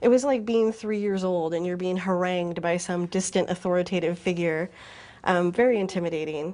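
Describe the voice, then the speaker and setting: A woman's dark, mellow voice at medium pitch, fairly quick in pace, fairly even in intonation, over a quiet background. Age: older than typical student. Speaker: university transfer student. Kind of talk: testimony.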